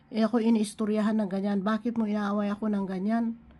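A woman speaks at a fairly high pitch, sounding somewhat breathy. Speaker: online devotional speaker. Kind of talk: devotional preaching. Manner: halting, with frequent fillers; code-switching Tagalog and English.

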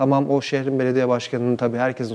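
The voice belongs to a man. It has a dark, mellow tone. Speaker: TV program host. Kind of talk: TV show introduction. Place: studio. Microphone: lapel.

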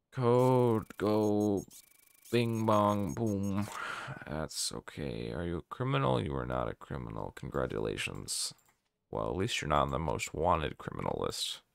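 With a very deep, low pitch, a man swings very widely up and down in pitch. The recording is dry, with no echo. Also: fairly slow pace. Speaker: gaming streamer. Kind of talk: live gameplay commentary. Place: home room. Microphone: studio mic.

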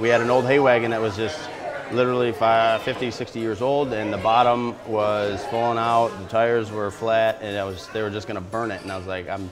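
A man at a fairly low pitch and moderate pace, with fairly even intonation and clear music in the background. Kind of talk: interview answer. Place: bar.

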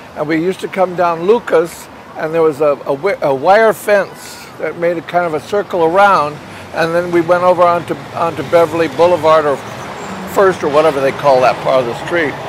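A man with an American accent speaks in a high voice at a moderate pace with fairly even intonation, a dry sound with no echo and noticeable background noise. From Los Angeles. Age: 80s+. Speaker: puppeteer. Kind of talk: interview answer. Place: street.

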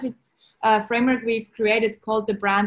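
A woman with a Swiss accent, somewhat breathy, fairly high-pitched, at a moderate pace with fairly even intonation. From Switzerland. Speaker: entrepreneur, brand strategist. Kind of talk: interview answer. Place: home room. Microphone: video call.

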